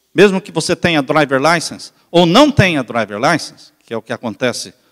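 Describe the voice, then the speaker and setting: Recorded with a dry, close sound and no echo, a man speaks at a moderate pace with lively intonation. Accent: Brazilian. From Brazil. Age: 60s. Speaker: pastor. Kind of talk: sermon.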